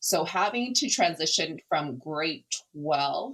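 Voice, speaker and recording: A woman's fairly low voice with a Canadian accent, lively intonation and a fairly slow pace. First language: Cantonese. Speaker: non-profit founder. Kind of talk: interview conversation.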